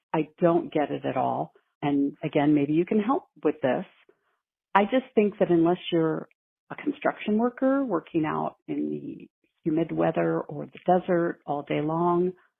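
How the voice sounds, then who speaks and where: A woman talks at a fairly slow pace. Her loudness swings widely. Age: 60s. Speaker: caller. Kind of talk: voicemail question.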